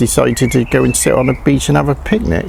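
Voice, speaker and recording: The pace is moderate as a man speaks. There is noticeable background noise. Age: 60s. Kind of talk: casual talk to camera. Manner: hesitant, conversational.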